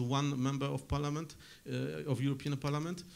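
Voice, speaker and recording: A man with a Polish accent talks at a fairly quick pace, his fairly high pitch held in a fairly even intonation. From Poland. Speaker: journalist and political scientist. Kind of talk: conference panel talk. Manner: hesitant, many fillers.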